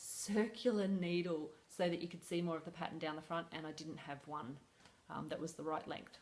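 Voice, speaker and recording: With an Australian accent, a woman speaks at a fairly low pitch in fairly even intonation. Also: fairly quick pace. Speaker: crochet designer vlogger. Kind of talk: casual vlog. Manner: fast; hesitant, many fillers.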